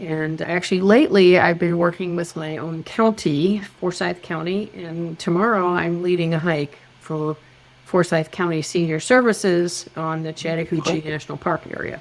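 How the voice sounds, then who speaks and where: The voice belongs to a woman with a fairly low pitch. She keeps a moderate pace and fairly even intonation. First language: German. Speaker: background screening expert, former nurse. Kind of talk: podcast interview.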